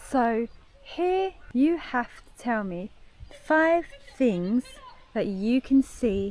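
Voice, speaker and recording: Speaking very slowly with long, frequent pauses, a woman with a British accent uses a high pitch and very wide pitch swings over noticeable background noise. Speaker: English teacher. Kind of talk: language-lesson vlog talk to camera. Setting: outdoors, park with traffic noise. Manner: slow, clear.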